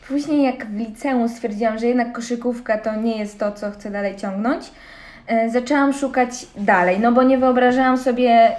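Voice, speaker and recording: Noticeable background noise sits under the voice. The pace is moderate and the pitch varies in an ordinary way. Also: woman. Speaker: CrossFit athlete and student. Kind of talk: casual interview chat.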